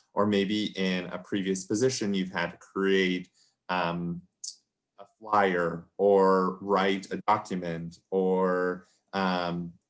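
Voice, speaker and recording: On a very clean recording with a silent background, a man speaks in a very deep, low pitch. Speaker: career advisor. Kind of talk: workshop presentation. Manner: casual, many fillers.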